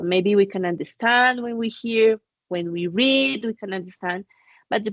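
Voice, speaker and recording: A woman speaks with a Spanish accent at a medium pitch. Her pace is moderate and her pitch variation is ordinary. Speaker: course director and lecturer. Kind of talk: online lecture. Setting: video call.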